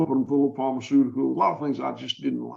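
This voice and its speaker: A man with a Southern US accent. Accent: Southern US (Georgia). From US South, Georgia. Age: 60s. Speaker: farmer. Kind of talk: podcast interview.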